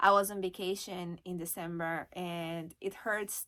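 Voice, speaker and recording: A woman speaks in a Brazilian Portuguese accent on a very clean recording with a silent background. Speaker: online reseller and YouTuber. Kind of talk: casual vlog talk to camera. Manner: hesitant, with fillers.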